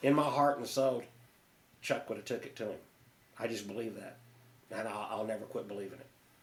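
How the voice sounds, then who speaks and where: A man's medium-pitched voice at a fairly quick pace, with big swings in loudness, fairly even intonation, long, frequent pauses and audible room echo. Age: 60s. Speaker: martial arts instructor. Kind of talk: podcast interview. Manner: halting, many false starts.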